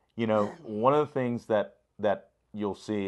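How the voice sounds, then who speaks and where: A man talks at a fairly slow pace with ordinary pitch variation in an ordinary speaking voice. The background is quiet. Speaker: state senator. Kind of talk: interview questions.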